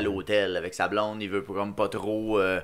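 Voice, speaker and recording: On a very clean recording with a silent background, a man with a Quebec accent speaks in a fairly low pitch with a bright, sharp tone. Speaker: podcast host. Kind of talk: casual chat.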